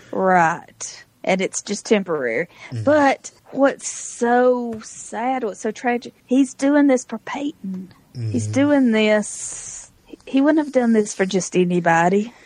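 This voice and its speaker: A woman speaks very slowly at a fairly high pitch, her intonation lively. Background noise is noticeable. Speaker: podcast co-host. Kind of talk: casual chat. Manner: laughs often.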